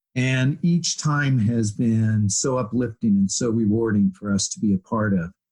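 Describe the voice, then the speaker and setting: Somewhat breathy, a man of medium pitch talks at a fairly slow pace with ordinary pitch variation. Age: 70s. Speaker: physical therapist. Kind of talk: interview conversation.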